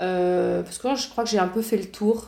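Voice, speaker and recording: Dark and mellow in tone, a woman speaks at medium pitch and a moderate pace with fairly even intonation. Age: 30s. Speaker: entrepreneur and communication teacher. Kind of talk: interview.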